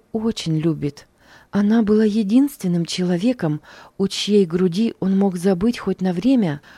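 The clip is plain reading aloud, its pitch variation ordinary.

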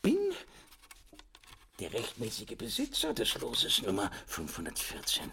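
A man puts on a character voice at a fairly slow pace, fairly low in pitch with very wide pitch swings, a bright, sharp tone, a husky, rough edge and vocal fry.

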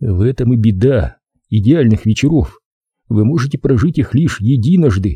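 Intonation is lively in this natural reading voice. No sound intrudes from the background.

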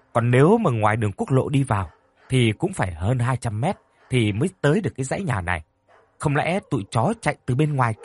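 Plain reading aloud, intonation lively, the background quiet

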